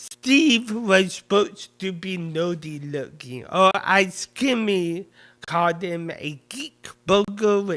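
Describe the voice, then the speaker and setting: A man with a high, bright, sharp voice projects loudly at a very slow pace with lively intonation. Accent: American. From US, northern edge of the Bible Belt. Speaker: lecturer. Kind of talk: lecture. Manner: halting.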